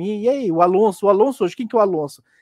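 A man against a quiet background. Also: dry, close sound with no echo. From Goiás, Brazil. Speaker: motorsport podcaster. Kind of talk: casual interview.

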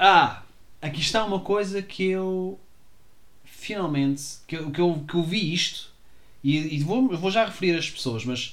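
Pausing long and often, a man with a high pitch talks at a fairly slow pace with lively intonation, and room echo is audible. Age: 30s. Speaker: solo podcaster. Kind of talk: reading aloud with commentary; casual monologue. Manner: halting.

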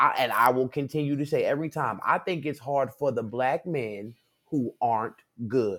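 A man's voice sits at a medium pitch and keeps a moderate pace. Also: ordinary pitch variation. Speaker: guest, theater artist. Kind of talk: casual chat. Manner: loud, rowdy.

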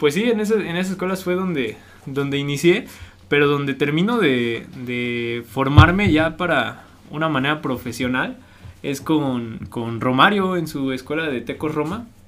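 A man speaks at a fairly high pitch and a fairly slow pace. He has a plain, everyday voice. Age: 20s. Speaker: professional footballer. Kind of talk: interview.

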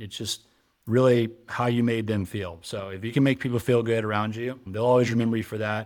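Using an unremarkable speaking voice, a man of medium pitch moves along fairly quickly, his intonation fairly even. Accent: American. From Texas. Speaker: entrepreneur and army veteran. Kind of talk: interview conversation.

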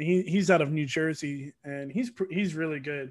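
Using a plain, everyday voice, a man with an American accent and a fairly high pitch speaks at a moderate pace with fairly even intonation on a very clean recording with a silent background. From Georgia, US (Atlanta area). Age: 20s. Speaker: competitive gamer. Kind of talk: casual chat.

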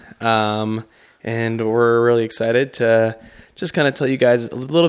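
A man speaks at a moderate pace in an ordinary speaking voice. His pitch is medium and his intonation fairly even. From Chicago. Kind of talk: casual chat.

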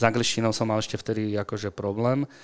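A man with a fairly low pitch talks at a fairly quick pace in a monotone, flat intonation, the sound dry and close with no echo. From Slovakia, Bratislava and Senec. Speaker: strength and conditioning coach. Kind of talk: interview conversation. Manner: hesitant with fillers.

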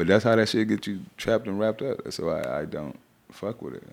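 Vocal fry colors a man's voice as he talks at a fairly quick pace. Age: 30s. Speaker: rapper and actor. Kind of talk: casual chat.

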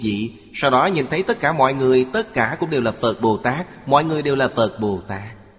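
A man speaks at a moderate pace and a medium pitch, somewhat breathy. His pitch swings very widely. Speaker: narrator of a translated Buddhist lecture. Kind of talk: reading aloud a Buddhist sermon. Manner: formal.

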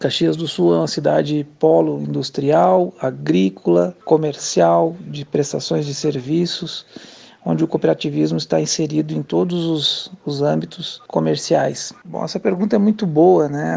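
A man at medium pitch with very wide pitch swings and a fairly slow pace, over noticeable background noise. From Brazil, Porto Alegre (Rio Grande do Sul). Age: 50s. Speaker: bank branch manager. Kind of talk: interview.

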